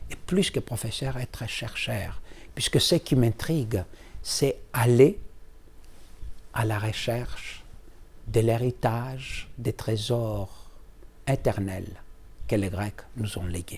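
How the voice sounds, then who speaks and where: The man's pace is very slow, with long, frequent pauses. His pitch is medium. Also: ordinary pitch variation. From Greece. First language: Greek (speaking French). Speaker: law professor. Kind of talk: interview. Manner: halting.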